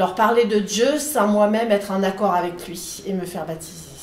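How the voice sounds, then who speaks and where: Over noticeable background noise and audible room echo, a woman talks at a medium pitch and fairly slow pace with ordinary pitch variation. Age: 60s. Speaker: catechumen preparing for baptism. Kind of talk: interview testimony. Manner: somewhat halting.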